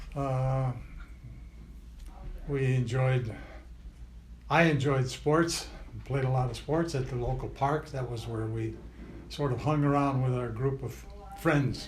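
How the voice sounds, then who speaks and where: Over audible room echo, a man with an American accent speaks fairly slowly in a somewhat breathy, monotone, flat voice, pausing long and often. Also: medium pitch for a man. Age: 80s+. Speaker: interviewee, grandfather. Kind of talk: family oral history interview. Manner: halting, many fillers.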